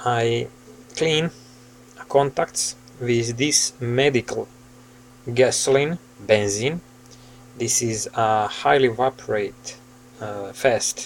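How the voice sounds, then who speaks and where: At a very slow pace, a man with a Serbian accent talks with long, frequent pauses and ordinary pitch variation. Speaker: hobbyist asking for repair help. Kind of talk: casual tutorial-style vlog. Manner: halting, with many fillers. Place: home room. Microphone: phone near.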